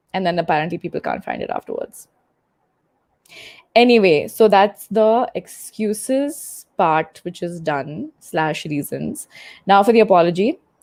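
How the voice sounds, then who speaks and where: A woman speaks at a fairly slow pace with a medium pitch and lively intonation. The recording is very clean, with a silent background. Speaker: YouTuber doing a live stream. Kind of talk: casual live stream chat. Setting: home, seated at desk on bed. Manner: animated.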